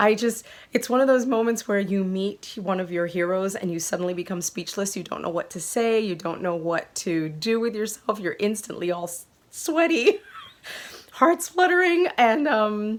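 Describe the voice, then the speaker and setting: A woman with a fairly high voice speaks at a moderate pace in an animated tone with very wide pitch swings. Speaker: knitting podcaster. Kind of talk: casual chat.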